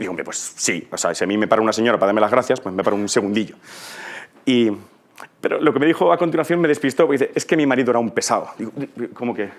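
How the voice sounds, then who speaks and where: The man's voice sits at a medium pitch. He talks very fast. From Spain, Ciudad Real (La Mancha). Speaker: conference speaker, teacher. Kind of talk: conference talk. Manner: animated, conversational.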